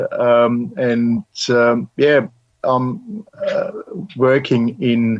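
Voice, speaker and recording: A man with a German accent talks very slowly at a medium pitch. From Germany. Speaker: consultant and amateur astronomer. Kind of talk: interview. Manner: halting, many fillers.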